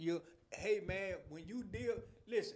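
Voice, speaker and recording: A man talks at a moderate pace. Audible echo fills the room. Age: 50s. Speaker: podcast host. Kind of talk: casual chat. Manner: animated.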